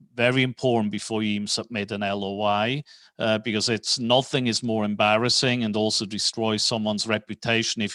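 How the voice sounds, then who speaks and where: Over a quiet background, a man with a Swiss accent speaks in a fairly low pitch, monotone and flat, with a bright, sharp tone. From Switzerland. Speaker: real estate financing executive. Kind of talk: podcast interview.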